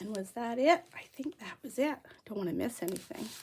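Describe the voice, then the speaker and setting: Noticeable background noise accompanies a woman whose intonation is lively. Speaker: crafter. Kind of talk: product unboxing. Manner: chatty.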